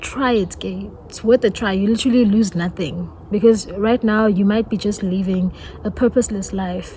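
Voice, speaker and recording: Over noticeable background noise, a woman with a South African accent speaks at a moderate pace, her medium pitch and intonation fairly even. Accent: South African (Zulu-speaking). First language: Zulu. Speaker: YouTuber. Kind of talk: testimony. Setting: outdoors.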